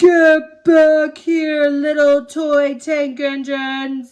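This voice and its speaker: A put-on character voice speaks at a high pitch and a very slow pace. Its intonation stays monotone and flat. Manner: menacing, shouting.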